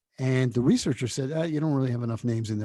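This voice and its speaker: Recorded very cleanly with a silent background and a dry, close sound with no echo, a man with a New York accent talks very fast in a dark, mellow, somewhat breathy tone with ordinary pitch variation. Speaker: TV network founder and author. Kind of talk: interview.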